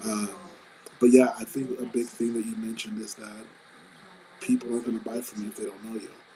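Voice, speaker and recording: The voice is quiet and very fast, with big swings in loudness and long, frequent pauses. Noticeable background noise is present. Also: man. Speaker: business co-host. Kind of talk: live stream talk.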